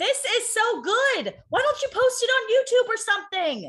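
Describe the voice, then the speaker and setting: Shouting loudly in a put-on character voice, a woman speaks at a moderate pace with an extremely high pitch. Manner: shouting, overly loud.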